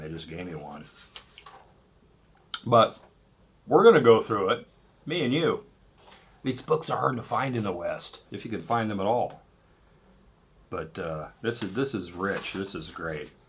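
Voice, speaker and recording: Pausing long and often, a man speaks at a moderate pace with lively intonation, big swings in loudness and a somewhat breathy voice. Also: fairly low pitch for a man. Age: 60s. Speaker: political commentary video blogger. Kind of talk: casual monologue. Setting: at home cooking while recording. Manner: rambling, with many fillers and false starts.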